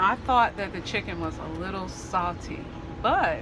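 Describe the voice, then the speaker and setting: Fairly slow speech from a woman, music playing in the background. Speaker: vlogger. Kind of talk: casual vlog chat. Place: street. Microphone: phone near.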